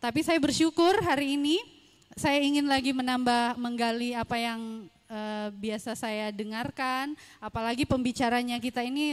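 With ordinary pitch variation and a high pitch, a woman keeps a moderate pace. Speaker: workshop participant. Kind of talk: audience comment. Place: hall. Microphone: handheld.

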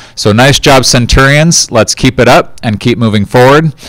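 A man speaks at a moderate pace with lively intonation. The background is quiet and the sound is dry with no echo. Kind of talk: school announcement address. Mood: upbeat, encouraging. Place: studio. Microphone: handheld.

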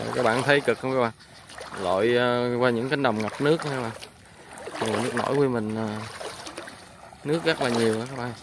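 Noticeable background noise accompanies a man's voice, recorded dry with no echo. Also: fairly quick pace. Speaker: vlogger filming. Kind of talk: casual vlog commentary. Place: waterside. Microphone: phone near.

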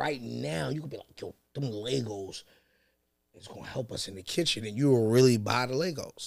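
A man with an American accent speaks at a moderate pace and a medium pitch. His loudness swings widely against a quiet background. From New York City, Harlem; New York City. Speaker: battle rapper; podcast guest. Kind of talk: casual chat. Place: studio. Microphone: studio mic.

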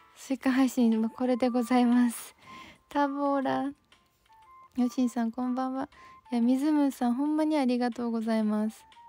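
With faint music in the background, a woman speaks at a high pitch and a moderate pace, the sound dry with no echo. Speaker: livestreamer. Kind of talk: casual livestream chat reading viewer comments. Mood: apologetic, friendly. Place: home room.

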